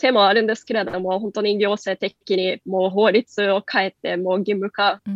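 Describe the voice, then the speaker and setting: A woman talks with a Norwegian accent at a moderate pace, with hardly any pauses. Her medium-pitched voice is monotone and flat in intonation. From Norway. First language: Norwegian (speaking Japanese). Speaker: company country head. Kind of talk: radio interview.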